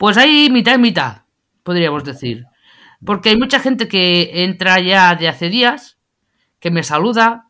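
A woman at medium pitch has a bright, sharp tone with very wide pitch swings and big swings in loudness. The recording is very clean, with a silent background. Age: 40s. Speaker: TikTok live streamer. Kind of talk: interview. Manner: halting, with many fillers and repetitions.

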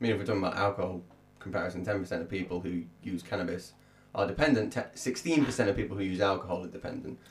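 A man's fairly low, somewhat breathy voice at a very fast pace, with ordinary pitch variation. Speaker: podcast co-host and musician. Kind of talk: casual chat.

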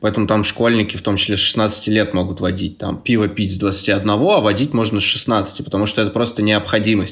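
Over noticeable background noise, a man talks at a fairly low pitch and a moderate pace, with fairly even intonation and hardly any pauses. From Chelyabinsk, Russia. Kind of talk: casual chat.

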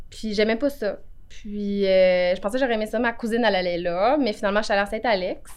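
Using a plain, everyday voice, a woman talks at a fairly quick pace, her fairly high pitch showing ordinary pitch variation. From Quebec, Outaouais (Cantley). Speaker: notary. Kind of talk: interview.

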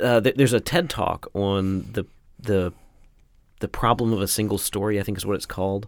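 The pace here is moderate, and the pitch varies in an ordinary way. It is an ordinary speaking voice. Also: man. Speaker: podcast host. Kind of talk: casual interview. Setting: studio. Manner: frequent fillers and restarts.

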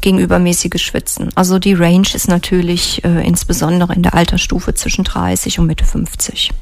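A woman speaks with very even loudness against noticeable background noise. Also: fairly quick pace. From Germany, near Trier (Rhineland-Palatinate). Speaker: physician. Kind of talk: radio interview. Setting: radio studio.

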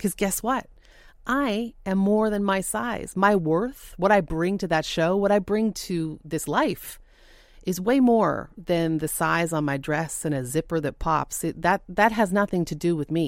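Using an ordinary speaking voice, a woman talks at a fairly slow pace with lively intonation. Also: medium pitch for a woman. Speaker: TV co-host. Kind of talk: testimony.

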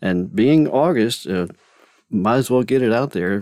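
Speaking at a moderate pace with medium pitch and lively intonation, a man has an unremarkable speaking voice, captured in a very clean recording against a silent background. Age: 50s. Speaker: podcast host and author. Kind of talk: casual monologue. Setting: home closet studio.

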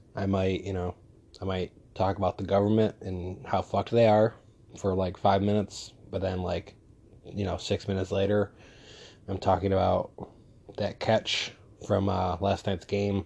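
Fairly low-pitched male speech at a moderate pace, dark and mellow in tone, monotone and flat, broken by long, frequent pauses, against a quiet background. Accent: American. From New York State (outside the city). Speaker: podcast host. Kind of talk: casual solo monologue. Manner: mumbling at times.

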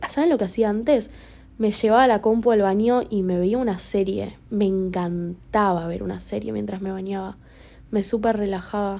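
Her tone is dark and mellow. The woman speaks at a fairly slow pace with fairly even intonation. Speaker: podcaster. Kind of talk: personal monologue. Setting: lying in bed in dark room. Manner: halting.

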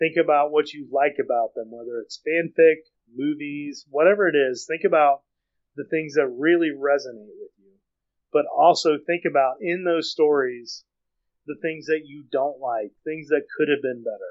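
A man has a plain, everyday voice at a fairly high pitch and a moderate pace. His intonation stays fairly even while his loudness swings widely. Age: 40s. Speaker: fan fiction author. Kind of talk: casual chat.

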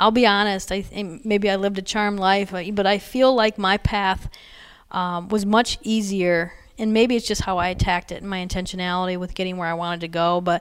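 A woman with an American accent speaks at medium pitch and a fairly quick pace, her intonation fairly even. It is an ordinary speaking voice, in a very clean recording with a silent background. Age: 40s. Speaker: college athletic director. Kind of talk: interview.

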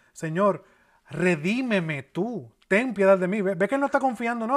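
A man speaks with lively intonation. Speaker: pastor. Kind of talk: sermon. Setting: church. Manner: earnest, expository preaching, steady teaching pace with pauses and repeats.

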